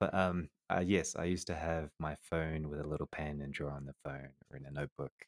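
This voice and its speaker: Captured with a dry, close sound and no echo, a man speaks at a fairly quick pace in a very deep, low pitch. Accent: slight New Zealand. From Colombia, half New Zealander. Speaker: 3D artist. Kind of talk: casual interview.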